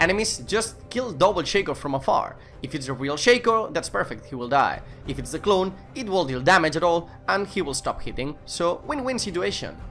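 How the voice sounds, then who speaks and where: Using very wide pitch swings, a man with a Spanish accent talks in a high voice at a fairly quick pace. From Spain. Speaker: gaming video creator. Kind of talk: game update commentary.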